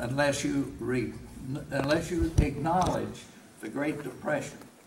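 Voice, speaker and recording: A man with an American accent speaks at a fairly high pitch with ordinary pitch variation, over noticeable background noise. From Kentucky. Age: 80s+. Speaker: war veteran. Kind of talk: speech to a veterans' group. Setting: live hall talk, poor audio.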